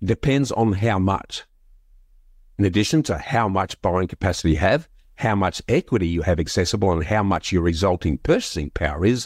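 A man speaks with a very deep, low pitch yet lively intonation, his loudness very even. The recording is very clean, with a silent background. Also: dry, close sound with no echo. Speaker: podcast host. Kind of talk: interview.

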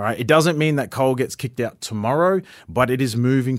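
Here is a man with an Australian accent at a medium pitch and ordinary pitch variation. He talks at a fairly quick pace in a very clean recording with a silent background. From Far North Queensland, Australia. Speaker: political candidate. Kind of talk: interview.

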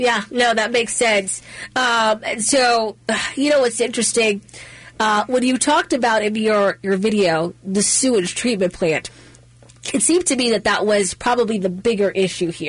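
A woman with an American accent talks at a moderate pace, with ordinary pitch variation and very even loudness. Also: fairly high pitch for a woman. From Maryland, Middle River. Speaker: talk radio host. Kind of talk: talk radio.

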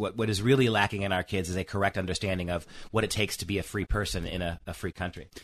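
Over a quiet background, a man with a fairly low pitch and a bright, sharp tone speaks at a very fast pace with ordinary pitch variation. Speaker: education professor and speaker. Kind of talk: radio interview discussion.

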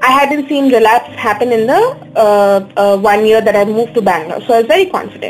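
With an Indian accent, a woman talks at a fairly quick pace in a fairly high pitch with ordinary pitch variation over noticeable background noise. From India, Darjeeling. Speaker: person living with alopecia. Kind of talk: interview.

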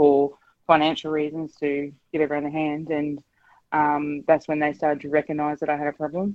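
A fairly quick, monotone delivery with flat intonation in an Australian accent. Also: woman. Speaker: caller. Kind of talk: talkback call. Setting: phone call.

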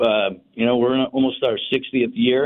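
At a moderate pace, a man uses a normal speaking voice at medium pitch. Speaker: restaurant owner and community organizer. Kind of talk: radio interview. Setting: phone line.

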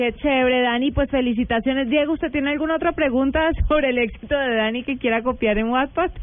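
A woman with a Colombian accent at a high pitch, talking at a very fast pace with hardly any pauses, fairly even intonation and very even loudness. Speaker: radio host. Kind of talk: casual chat. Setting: studio.

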